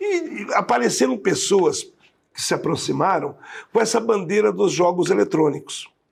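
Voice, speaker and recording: A man talks at a moderate pace. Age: 60s. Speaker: city councillor. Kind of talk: interview. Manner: halting.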